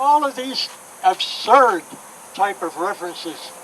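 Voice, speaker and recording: There is noticeable background noise. A man talks over it, his pitch varying in an ordinary way. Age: 80s+. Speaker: civil rights activist. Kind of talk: speech.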